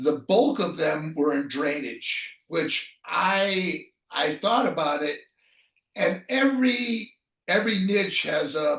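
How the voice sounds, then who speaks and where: Very slow speech comes from a man with a high pitch. His pitch swings very widely. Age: 60s. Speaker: retired online entrepreneur, website rental business. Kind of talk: interview answer. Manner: hesitant, many fillers.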